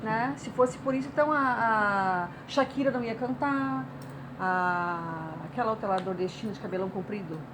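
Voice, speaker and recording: A woman at medium pitch with very wide pitch swings and a fairly slow pace, amid noticeable background noise and audible room echo. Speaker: writer and artist. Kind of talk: interview.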